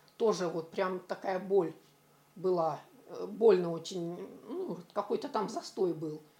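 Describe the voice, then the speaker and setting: A woman speaking at a fairly slow pace. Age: 60s. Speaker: retiree. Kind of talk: testimonial.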